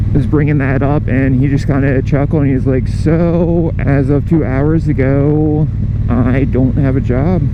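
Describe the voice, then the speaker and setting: The man's loudness stays very even at a fairly slow pace. Room echo is audible, along with noticeable background noise. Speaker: motorcycle vlogger. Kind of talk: casual vlog talk while riding.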